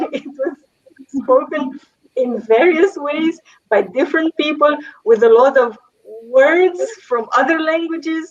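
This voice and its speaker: A woman in a Romanian accent speaks at a high pitch with lively intonation. She takes long, frequent pauses. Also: fairly slow pace. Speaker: language teacher and translator. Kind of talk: panel discussion.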